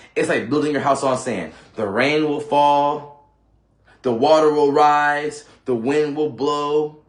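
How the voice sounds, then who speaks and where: With audible room echo, a man speaks very slowly at a fairly high pitch. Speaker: YouTuber giving self-improvement advice. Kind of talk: motivational monologue to camera. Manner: repetitive, halting restarts.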